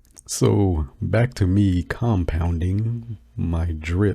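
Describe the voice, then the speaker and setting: Relaxed and somewhat breathy, a man speaks with a very deep, low pitch, a dark, mellow tone and lively intonation. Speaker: crypto YouTuber. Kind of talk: casual chat. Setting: home recording, no fan. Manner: halting.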